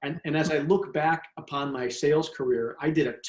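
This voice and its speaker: A man's voice with a fairly high pitch. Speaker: sales trainer and author. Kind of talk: interview. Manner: fast.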